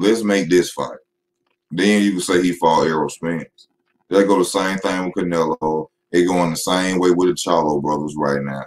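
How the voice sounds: Speaking at a moderate pace, a man keeps a low pitch and fairly even intonation.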